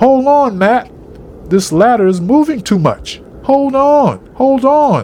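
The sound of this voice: A man puts on a character voice, pitched extremely high, with a slightly mellow tone. He speaks at a slow pace with big pitch swings.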